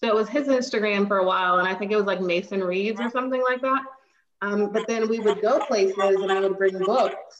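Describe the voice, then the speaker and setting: A woman's unremarkable speaking voice, medium-pitched, with ordinary pitch variation and a fairly quick pace. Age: 30s. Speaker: teacher and book recommender. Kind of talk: casual interview.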